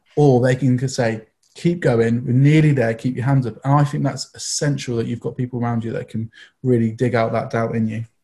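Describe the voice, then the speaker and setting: A man speaks at a fairly quick pace with medium pitch, fairly even intonation and a dark, mellow, somewhat breathy tone. The recording is very clean, with a silent background. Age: 30s. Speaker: youth church team member. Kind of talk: casual chat.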